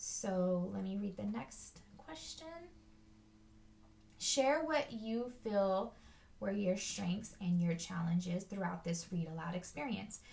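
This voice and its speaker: In a room with audible echo, a woman with a somewhat breathy voice and medium pitch speaks at a very slow pace. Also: lively intonation. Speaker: teacher. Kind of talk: personal reflection monologue. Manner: hesitant, many fillers.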